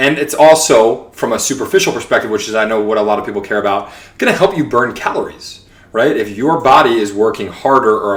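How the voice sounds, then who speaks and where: An animated man with an American accent talks at a very fast pace and a medium pitch, with ordinary pitch variation. Room echo is audible. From New York (Long Island). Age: 30s. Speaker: podcast host. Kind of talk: casual monologue podcast.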